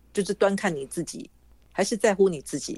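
Her intonation is lively. The woman talks at a fairly quick pace. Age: 60s. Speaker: author and former journalist. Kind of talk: interview.

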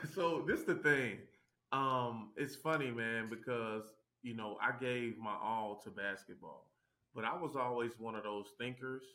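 In an American accent, a man with a medium pitch and a bright, sharp tone talks at a moderate pace with ordinary pitch variation. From Tennessee, US South (Chattanooga). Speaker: former pro basketball player, real estate investor. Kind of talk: interview. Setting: video call.

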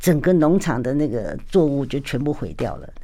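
A woman's very deep, low voice at a moderate pace, over noticeable background noise. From Taiwan. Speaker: businesswoman and former politician. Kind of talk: radio interview. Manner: frequent laughter.

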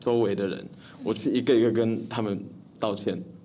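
A man speaks at a fairly quick pace with a medium pitch and a dark, mellow tone. Audible room echo surrounds his voice. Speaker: young comedy actor. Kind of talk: casual interview chat.

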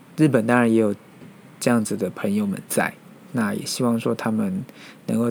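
A fairly slow pace with ordinary pitch variation. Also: man. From Taiwan. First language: Mandarin (Taiwan) (speaking Japanese). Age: 30s. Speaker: podcast host, office worker. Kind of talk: solo podcast monologue. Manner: hesitant, many fillers.

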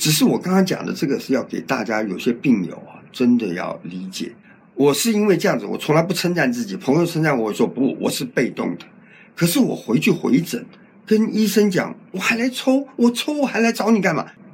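This man has a high pitch and very wide pitch swings. He speaks at a fairly quick pace. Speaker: cancer survivor. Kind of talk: interview testimony. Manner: talkative.

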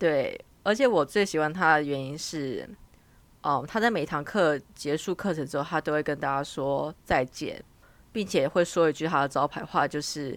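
A woman speaks at a moderate pace in a very deep, low voice, with ordinary pitch variation. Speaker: international student, podcast co-host. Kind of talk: casual chat.

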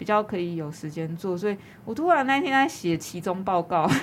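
At a moderate pace, a woman speaks in an unremarkable speaking voice of medium pitch with lively intonation. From Taiwan, New Taipei (Yonghe). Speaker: arts manager and business owner. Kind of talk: casual interview.

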